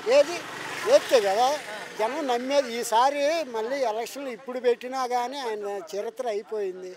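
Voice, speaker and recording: Background noise is noticeable. The voice shows ordinary pitch variation. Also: man, extremely high pitch for a man. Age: old. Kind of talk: street interview answer.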